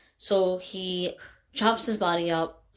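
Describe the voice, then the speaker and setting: Recorded very cleanly with a silent background, a woman talks. Her pitch is medium and her intonation monotone and flat. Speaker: student. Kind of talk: casual literature discussion to camera. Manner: hesitant, many fillers.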